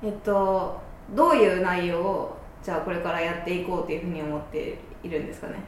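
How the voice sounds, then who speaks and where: A woman with a Kansai accent speaks at a fairly quick pace and medium pitch, her intonation fairly even but her loudness swinging widely, with audible room echo and noticeable background noise. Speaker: podcast host. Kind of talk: casual chat.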